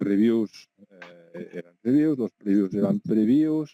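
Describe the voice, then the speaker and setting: This man's tone is dark and mellow, at a fairly slow pace. The sound is dry and close, with no echo. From Catalonia. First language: Catalan (speaking Spanish). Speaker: video game journalist, website founder. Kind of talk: interview. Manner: hesitant with fillers and repetitions.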